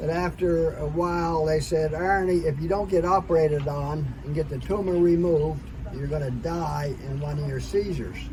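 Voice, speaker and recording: A man talking with hardly any pauses, audible room echo and noticeable background noise. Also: moderate pace. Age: 80s+. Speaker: product consultant sharing health story. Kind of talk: interview testimony.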